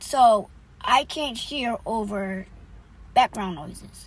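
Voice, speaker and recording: With ordinary pitch variation, a woman's voice carries vocal fry. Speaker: vlogger. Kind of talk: casual vlog talk. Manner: loud; hesitant, many fillers.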